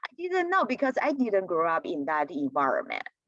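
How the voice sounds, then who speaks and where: A woman speaks in a Chinese accent with a high pitch and very wide pitch swings. The sound is dry and close, with no echo. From China. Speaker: community college teacher. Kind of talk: presentation. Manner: halting, many fillers.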